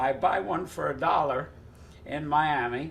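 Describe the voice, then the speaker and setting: The man's voice is fairly high-pitched. Vocal fry comes through in it. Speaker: card pitchman. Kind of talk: storytelling interview answer. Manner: casual, reflective.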